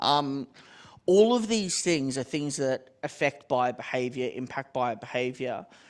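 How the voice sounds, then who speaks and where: A man's fairly high voice at a fairly slow pace, with lively intonation. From Australia. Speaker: tech company executive. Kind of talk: panel discussion. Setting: stage with audience.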